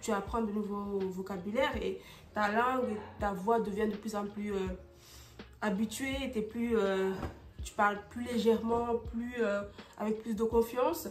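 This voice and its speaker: Audible room echo on a fairly high female voice. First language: not French; French is her second language (speaking French). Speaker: vlogger. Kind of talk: casual vlog talk to camera. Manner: halting, many fillers and repetitions.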